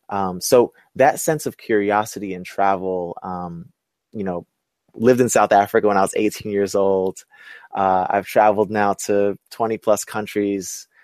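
An unremarkable speaking voice from a man with an American accent, fairly low in pitch with fairly even intonation at a moderate pace, dry and close with no echo, in a very clean recording with a silent background. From Brooklyn, New York. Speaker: entrepreneur and inclusive leadership specialist. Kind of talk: interview. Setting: webcast.

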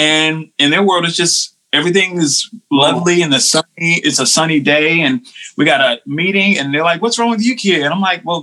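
A man with an American accent, high pitch, very even loudness and a moderate pace. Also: ordinary pitch variation. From North Carolina, US South. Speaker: worship pastor. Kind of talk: casual chat.

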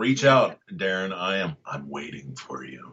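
In a put-on character voice, a man talks very slowly with a very deep, low pitch. His pitch swings very widely. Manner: menacing, taunting.

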